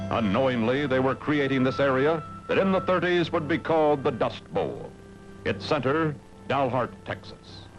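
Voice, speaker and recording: A man's medium-pitched voice with lively intonation, a moderate pace and very even loudness, music playing in the background. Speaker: news narrator. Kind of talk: documentary narration.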